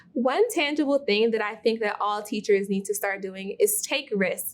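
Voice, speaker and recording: With an American accent, a woman speaks in an ordinary speaking voice. Her pitch is fairly high and her pace moderate. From Milwaukee, Wisconsin. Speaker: teacher. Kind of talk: recorded testimony.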